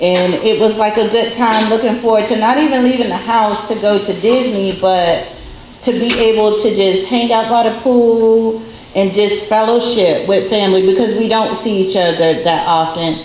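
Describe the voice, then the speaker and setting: A woman speaks at a moderate pace in a fairly high pitch with very even loudness, over noticeable background noise and audible room echo. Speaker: relative of the deceased. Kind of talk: memorial tribute.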